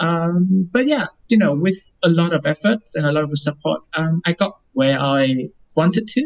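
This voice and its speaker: The speaker has a Vietnamese accent. The pace is moderate. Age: 20s. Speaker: lawyer. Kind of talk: casual interview.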